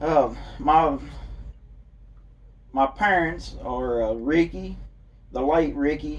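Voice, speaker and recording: A man is speaking. He has a Kentucky accent. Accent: southern US, Kentucky. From Kentucky, Monroe County. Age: 40s. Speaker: political candidate. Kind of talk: interview. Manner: halting, many fillers.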